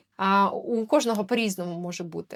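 Her medium-pitched voice shows ordinary pitch variation as the woman speaks. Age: 30s. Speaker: human design consultant and video blogger. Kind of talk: talking-head explainer video. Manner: casual, with frequent filler tag questions.

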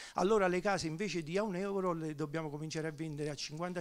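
Spoken at a very fast pace in a Neapolitan accent, the voice keeps a fairly even intonation. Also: man. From southern Italy, Naples; southern Italy. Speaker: economist; speaker. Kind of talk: panel discussion. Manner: halting. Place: hall. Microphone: handheld.

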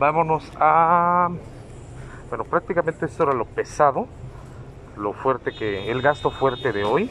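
At a fairly slow pace with long, frequent pauses, a bright, sharp voice carries lively intonation over light background noise. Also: man, fairly high pitch for a man. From Mexico. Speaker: vlogger. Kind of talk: casual vlog. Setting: outdoors on a scooter. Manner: halting with fillers. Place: street. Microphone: phone near.

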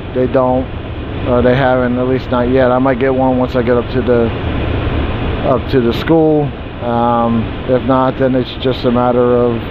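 The speech comes at a fairly slow pace, with noticeable background noise and a dry sound with no echo. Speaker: charter coach driver. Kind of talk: casual vlog chat. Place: car. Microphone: phone near.

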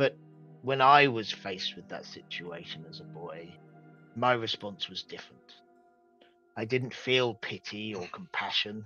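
With faint music in the background, a man does a put-on character voice at medium pitch and a moderate pace, with long, frequent pauses. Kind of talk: dramatic in-character monologue. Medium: actual play. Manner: solemn, formal, persuasive, unsettling.

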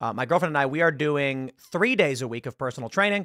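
A man's voice has a bright, sharp tone and ordinary pitch variation, heard as a dry sound with no echo against a quiet background. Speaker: online commentator. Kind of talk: commentary. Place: studio. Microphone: studio mic.

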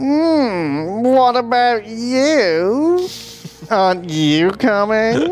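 Putting on a character voice, a man speaks very slowly at a high pitch over clear background noise. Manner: eager, friendly.

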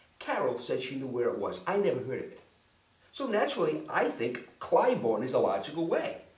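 A man talks at a moderate pace, and the room's echo can be heard. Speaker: storyteller. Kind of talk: comic personal storytelling monologue. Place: home room.

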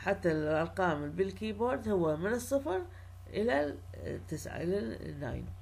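In an Iraqi accent and a room with audible echo, a woman speaks fairly slowly at a very deep, low pitch, with vocal fry and very wide pitch swings. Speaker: university lecturer. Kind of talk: lecture.

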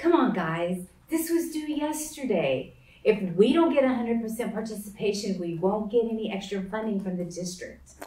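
A woman talks at a moderate pace, and room echo can be heard around her. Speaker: teacher. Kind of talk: classroom address. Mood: mildly exasperated. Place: classroom. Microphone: camera far.

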